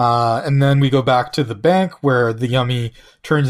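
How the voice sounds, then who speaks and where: Here is a man with an unremarkable speaking voice, pitched fairly high, at a moderate pace. The recording is very clean, with a silent background. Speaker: podcast host. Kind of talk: casual chat.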